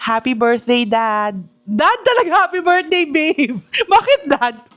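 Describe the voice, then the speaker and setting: Her pitch leaps and drops very widely. The woman keeps a fairly slow pace. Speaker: family vlogger. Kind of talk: casual vlog chat. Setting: in a car; at home. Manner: slightly slurred speech from dental brace.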